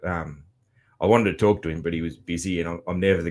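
The recording is very clean, with a silent background. A man with an Australian accent talks at a very fast pace. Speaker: podcast host. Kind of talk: casual monologue recap. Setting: home studio. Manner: halting, many fillers.

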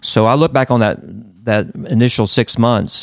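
A man with an Appalachian accent speaks at a moderate pace. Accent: Southern US (Appalachian). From North Carolina mountains, US. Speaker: pastor. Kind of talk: interview.

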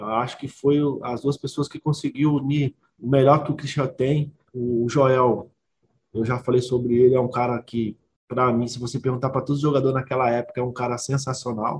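At a moderate pace, a man talks in a somewhat breathy voice with monotone, flat intonation. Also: medium pitch for a man. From Belo Horizonte, Brazil. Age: 30s. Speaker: professional footballer. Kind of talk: interview. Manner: halting, many repetitions and fillers.

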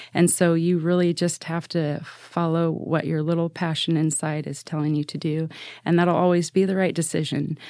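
In an American accent, a woman speaks at a moderate pace with monotone, flat intonation. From Oregon, Salem-Keizer. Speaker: school board candidate. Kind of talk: interview.

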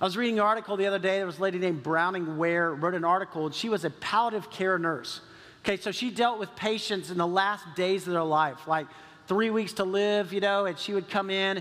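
A man with a Texan accent speaks very fast in a high pitch. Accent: Texan American. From Texas. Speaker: pastor. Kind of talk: sermon. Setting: church. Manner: animated.

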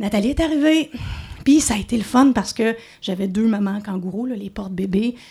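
Her fairly high voice is somewhat breathy with a dark, mellow tone, moving at a fairly quick pace with ordinary pitch variation. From Montreal. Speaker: radio host. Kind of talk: storytelling. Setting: stage with audience.

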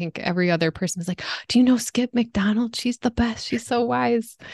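At a fairly quick pace, a woman speaks in a normal speaking voice with ordinary pitch variation, the sound dry and close with no echo against a quiet background. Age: 30s. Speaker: podcast host. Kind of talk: interview.

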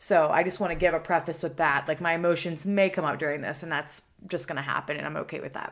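A woman with an American accent at a fairly low pitch, very fast pace, fairly even intonation and hardly any pauses, on a very clean recording with a silent background. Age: 20s. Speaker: podcast host. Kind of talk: casual monologue. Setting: solo recording. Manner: casual, filler-heavy.

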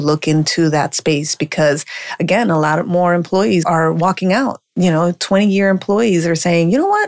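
This woman has an unremarkable speaking voice with an American accent. She speaks at a moderate pace in a fairly low pitch. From Colombia (Medellin), raised partly in US. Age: 40s. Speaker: life coach and speaker. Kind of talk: interview.

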